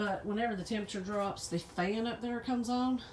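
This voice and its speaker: Her pace is fairly quick. The woman's pitch shows ordinary variation. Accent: Southern US. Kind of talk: casual talk to camera.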